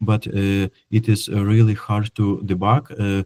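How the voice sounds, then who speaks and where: A man's dark, mellow tone comes through with a dry, close sound and no echo, on a very clean recording with a silent background. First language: not English. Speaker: software developer. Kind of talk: technical presentation. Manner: halting, many fillers.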